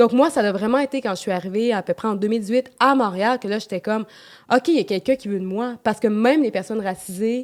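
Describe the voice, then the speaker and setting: At a fairly quick pace, a woman speaks with a medium pitch and ordinary pitch variation, the sound dry and close with no echo. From Quebec, Beauce region. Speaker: podcast guest. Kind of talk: casual chat.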